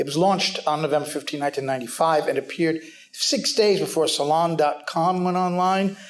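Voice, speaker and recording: A man speaks at a fairly high pitch and a fairly quick pace. His pitch variation is ordinary. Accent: New York. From New York City. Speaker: news editor. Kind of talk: panel talk. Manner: fast.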